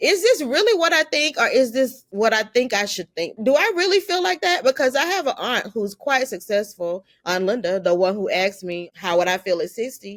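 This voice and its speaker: A woman with a high pitch talks at a moderate pace with very wide pitch swings and hardly any pauses. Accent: American. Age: 50s. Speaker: filmmaker. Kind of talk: interview conversation. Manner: casual, conversational.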